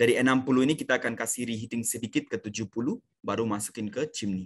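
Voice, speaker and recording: A man speaks with fairly even intonation. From India. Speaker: sales manager presenting a seminar. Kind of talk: online technical sales presentation. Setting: online video seminar. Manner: halting, many fillers. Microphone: video call.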